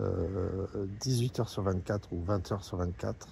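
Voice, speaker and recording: A man's somewhat breathy voice, dark and mellow in tone. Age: 60s. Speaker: patient association president. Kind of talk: open address to a politician. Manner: hesitant, many fillers.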